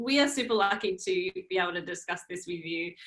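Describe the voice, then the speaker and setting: A woman is speaking. Her tone is bright and sharp. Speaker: interview host. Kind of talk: live webinar hosting. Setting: live stream video call.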